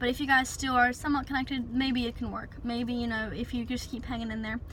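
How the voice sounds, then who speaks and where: Over noticeable background noise, a woman speaks in a raised, projected voice, high in pitch and monotone, flat in intonation. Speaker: relationship advice vlogger. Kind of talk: casual advice vlog. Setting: in a parked car. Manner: fast.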